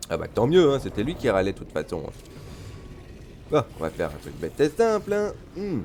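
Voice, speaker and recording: With long, frequent pauses between fairly quick stretches, a man speaks at a fairly high pitch with vocal fry, very wide pitch swings and big swings in loudness. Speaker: gaming streamer. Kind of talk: gameplay commentary. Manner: animated.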